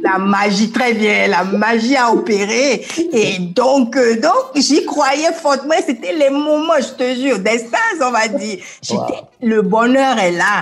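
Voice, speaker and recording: Amid noticeable background noise and audible room echo, a woman speaks very slowly at a high pitch, with lively intonation and very even loudness. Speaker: motivational coach. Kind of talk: interview. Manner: energetic.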